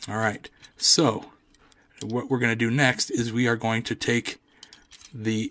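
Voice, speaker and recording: Speaking slowly in a flat monotone, a man with a medium pitch leaves long, frequent pauses. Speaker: toy reviewer. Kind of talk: product review tutorial. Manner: casual, hesitant with fillers.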